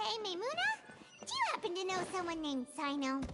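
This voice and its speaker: This is a cartoonish character voice, squeaky and extremely high-pitched, going at a very fast pace. Loud background noise runs underneath. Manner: casual, friendly.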